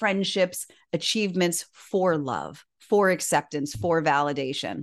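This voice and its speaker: Against a quiet background, a woman with an American accent uses a normal speaking voice at a moderate pace, her pitch fairly low with ordinary variation. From Miami, Florida. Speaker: author and inspirational speaker. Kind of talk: interview.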